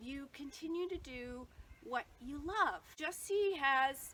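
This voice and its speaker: Speaking at a very slow pace, a woman uses a raised, projected voice that is high in pitch with ordinary pitch variation. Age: 60s. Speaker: yoga therapist. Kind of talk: tutorial.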